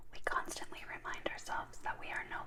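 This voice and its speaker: Someone whispers at a moderate pace while noticeable background noise plays. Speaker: recovering alcoholic. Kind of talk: asmr reading. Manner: whispered.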